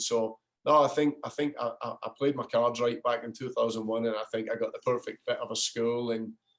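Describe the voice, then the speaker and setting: A man with an American accent talks at a fairly quick pace. His pitch sits in the medium range. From Scotland. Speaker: soccer coach. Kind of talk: interview. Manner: halting, many repetitions.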